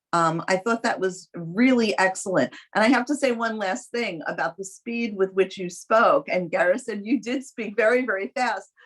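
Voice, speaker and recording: A woman speaks at a moderate pace with lively intonation. Her pitch is fairly high. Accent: New York. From New York City. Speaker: competition judge, lawyer. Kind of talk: spoken feedback to student teams.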